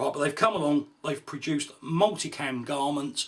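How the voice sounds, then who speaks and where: The speech moves at a fairly quick pace with ordinary pitch variation, against noticeable background noise. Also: man. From UK. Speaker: gear reviewer. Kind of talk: product review. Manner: casual, frequent fillers like right and um.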